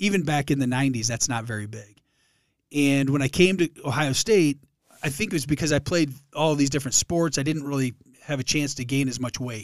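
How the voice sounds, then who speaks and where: A man with a fairly high pitch talks at a fairly quick pace with ordinary pitch variation. The recording is very clean, with a silent background. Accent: Michigan. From Detroit area, Michigan. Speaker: former college football player, charity founder. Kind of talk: casual interview. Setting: podcast studio.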